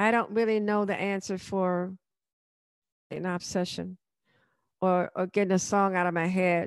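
A woman speaks in an American accent at a medium pitch and moderate pace, her intonation monotone and flat. The recording is very clean with a silent background and a dry, close sound with no echo. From Chicago, US Midwest. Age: 70s. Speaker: retired mother of the host. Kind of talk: interview about her life story. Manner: halting, many fillers.

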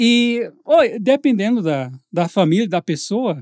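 This man's voice sits high and swings very widely in pitch. The sound is dry and close with no echo, over a silent background in a very clean recording. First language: English (speaking Portuguese). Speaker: English teacher, podcast host. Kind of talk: casual chat.

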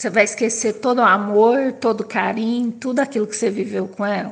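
A woman with a fairly high pitch. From interior of São Paulo state, Brazil. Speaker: person with Parkinson's. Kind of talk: personal testimony. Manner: halting.

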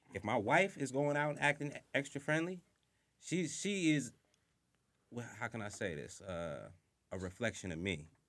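A man with an American accent, medium pitch, vocal fry and very wide pitch swings, at a moderate pace with long, frequent pauses. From Southampton, Long Island, New York. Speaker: tattoo artist. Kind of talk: casual chat.

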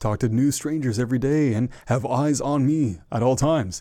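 A man's dark, mellow voice at a moderate pace with ordinary pitch variation. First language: French and English. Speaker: podcast host guest. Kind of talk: casual interview chat. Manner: occasional stutter and filler words.

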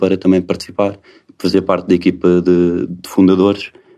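A man speaks with a very deep, low pitch and a dark, mellow tone. His pace is moderate. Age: 40s. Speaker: tech company co-founder. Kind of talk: interview. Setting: company office.

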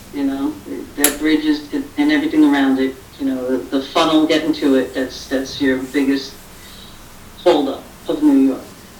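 A woman's very deep, low voice in an American accent, monotone and flat, with long, frequent pauses over noticeable background noise. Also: moderate pace. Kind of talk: casual chat on live stream.

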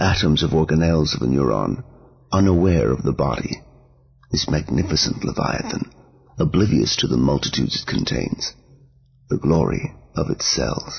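The speaker uses lively intonation, breaks often into long pauses, and talks against noticeable background noise. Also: man, very deep, low pitch for a man, moderate pace. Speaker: podcast host and poetry reader. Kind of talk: poetry reading, read aloud. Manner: measured, expressive poetic delivery; warm, welcoming.

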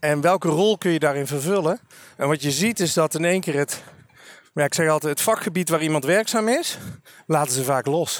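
A man speaks at a fairly quick pace in a fairly high pitch, with ordinary pitch variation and a plain, everyday voice. The sound is dry and close with no echo. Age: 40s. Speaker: career coach and trainer. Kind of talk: casual interview. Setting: outdoors walking.

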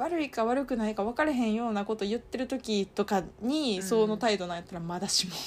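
With hardly any pauses, a woman talks at a very fast pace, her fairly high pitch showing ordinary variation. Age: 30s. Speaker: podcast co-host. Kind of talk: casual chat. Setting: at home, sleepover recording. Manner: animated.

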